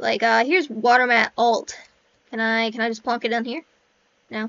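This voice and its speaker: This woman's voice sits fairly high in pitch, with fairly even intonation. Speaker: indie game developer. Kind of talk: software walkthrough. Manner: fast; casual, self-interrupting.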